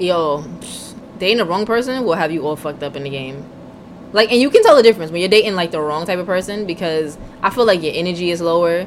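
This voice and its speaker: A woman's fairly low-pitched, lively voice at a very fast pace, with noticeable background noise. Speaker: podcast co-host. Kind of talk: casual chat. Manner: casual, profane.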